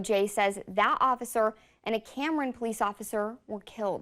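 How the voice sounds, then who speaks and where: A woman has a normal speaking voice, fairly high in pitch with fairly even intonation. She speaks at a fairly quick pace on a very clean recording with a silent background. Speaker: TV news anchor. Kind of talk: TV news read. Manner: serious, measured.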